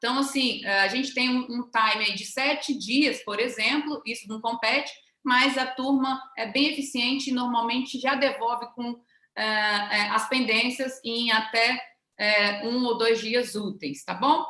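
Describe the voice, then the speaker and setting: A bright, sharp tone with fairly even intonation. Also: woman, high pitch for a woman. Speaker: government official presenting a webinar. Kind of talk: webinar presentation. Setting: online webinar. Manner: fast.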